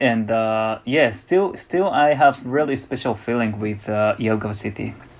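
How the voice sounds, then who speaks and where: Fairly slow speech from a man with a Japanese accent. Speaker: musician. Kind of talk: casual interview. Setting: online call.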